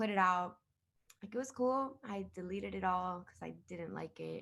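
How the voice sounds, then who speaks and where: With a Spanish accent, a woman speaks at a moderate pace. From Miami. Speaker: singer-songwriter. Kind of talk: interview. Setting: video call. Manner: casual, code-switching Spanglish.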